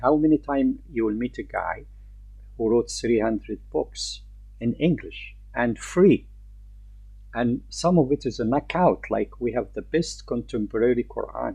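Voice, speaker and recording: A man with an Arabic accent speaks at a fairly slow pace. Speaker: Islamic teacher. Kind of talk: lecture. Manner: halting.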